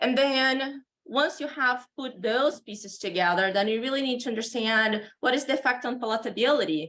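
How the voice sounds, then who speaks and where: Speaking with a Brazilian accent, a woman has a high pitch and a bright, sharp tone. She keeps a moderate pace with ordinary pitch variation and hardly any pauses. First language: Portuguese. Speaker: animal nutrition professor. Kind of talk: conference lecture.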